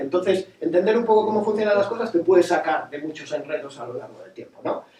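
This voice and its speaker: There is noticeable background noise behind a man with a high pitch. He talks at a fairly quick pace with ordinary pitch variation. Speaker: nautical youtuber. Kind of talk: casual talk to audience. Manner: fast.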